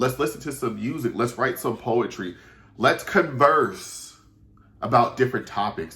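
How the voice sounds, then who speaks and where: Bright and sharp in tone, a man's medium-pitched voice sounds animated at a fairly slow pace, with ordinary pitch variation. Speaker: YouTuber. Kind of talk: casual chat. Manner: says um and uh a lot.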